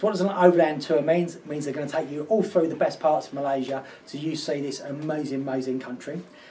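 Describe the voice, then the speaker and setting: An upbeat, enthusiastic tone comes through in an Essex accent over noticeable background noise. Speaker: travel deals presenter.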